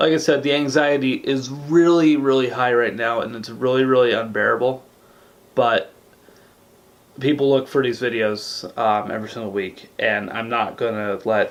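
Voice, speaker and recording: His pitch sits at a medium level and varies in an ordinary way. This man speaks at a moderate pace. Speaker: YouTuber vlogging weight-loss journey. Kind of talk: casual vlog monologue.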